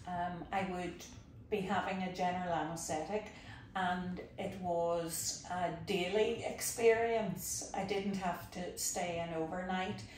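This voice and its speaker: Audible room echo surrounds a woman with a Northern Irish accent, speaking at a very slow pace and medium pitch. Her somewhat breathy voice has a calm tone and a monotone, flat intonation. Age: 60s. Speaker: patient. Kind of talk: interview testimony.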